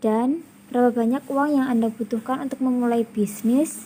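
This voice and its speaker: In a high voice, a woman speaks at a fairly slow pace with fairly even intonation. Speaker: university student interviewer. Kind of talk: interview. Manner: formal.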